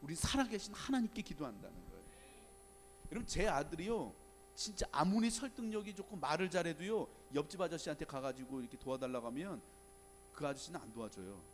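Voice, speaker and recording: A man's high voice with very wide pitch swings, big shifts in loudness, a very fast pace and long, frequent pauses. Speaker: guest pastor. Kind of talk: sermon.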